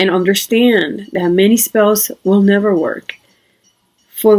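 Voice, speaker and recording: Speaking with a non-native accent, a woman keeps her intonation fairly even. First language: not English. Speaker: witchcraft video creator. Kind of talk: casual talk to camera. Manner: halting, many fillers.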